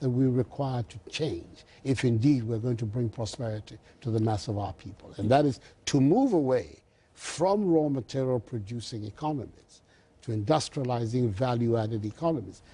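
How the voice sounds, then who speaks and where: His dark, mellow tone is somewhat breathy, and this man's pitch varies in an ordinary way. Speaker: politician. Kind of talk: TV interview answer.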